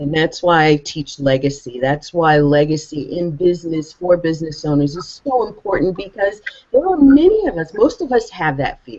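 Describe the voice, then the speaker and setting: A woman speaks in a plain, everyday voice, fairly low in pitch. Her intonation is lively and her pace moderate. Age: 60s. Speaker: legacy coach for business owners. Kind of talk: panel discussion.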